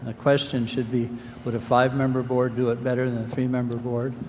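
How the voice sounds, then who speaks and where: Over noticeable background noise, a man talks at a fairly quick pace in a medium pitch. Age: 60s. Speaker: resident speaking at town meeting. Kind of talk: public comment at town meeting.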